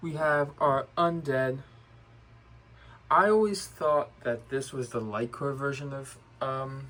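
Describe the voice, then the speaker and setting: Mumbling at a very slow pace with long, frequent pauses, a man talks at a fairly high pitch with ordinary pitch variation. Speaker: toy collector. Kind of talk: casual talk to camera.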